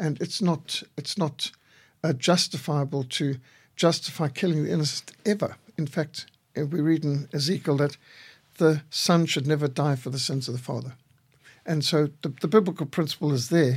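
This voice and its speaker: A man speaks at a moderate pace with a fairly high pitch, ordinary pitch variation and a somewhat breathy sound, on a very clean recording with a silent background. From Zimbabwe (Rhodesia). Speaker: missionary and pro-life activist. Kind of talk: radio interview. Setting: radio studio.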